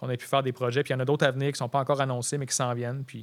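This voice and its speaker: A man's medium-pitched, flat monotone in a very clean recording with a silent background. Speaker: photographer and punk rock drummer. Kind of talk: casual chat.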